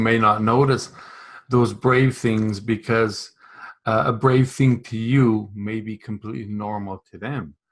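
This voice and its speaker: This is an unremarkable speaking voice at a fairly slow pace, with ordinary pitch variation. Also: man. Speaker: podcast host. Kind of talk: podcast interview host.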